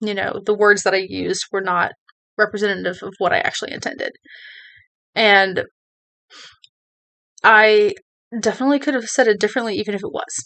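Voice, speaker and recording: A woman with a bright, sharp tone and a fairly high pitch speaks fairly quickly, using ordinary pitch variation and long, frequent pauses. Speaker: vlogger. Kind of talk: personal talk to camera. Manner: hesitant, many fillers.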